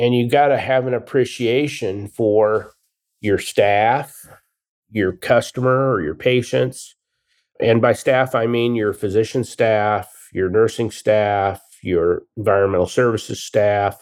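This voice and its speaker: On a very clean recording with a silent background, a man with an American accent speaks at a medium pitch and fairly slow pace with ordinary pitch variation. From Nebraska, US. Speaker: family physician and hospital IT leader. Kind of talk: interview.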